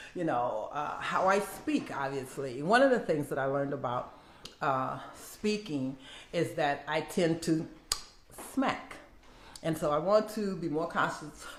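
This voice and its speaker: A woman with an American accent speaks in a very deep, low pitch with lively intonation. Her pace is fairly slow, and there is audible room echo. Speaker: minister and content creator. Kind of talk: casual vlog intro. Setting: home video setup with ring light. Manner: audible lip smacking; filler words.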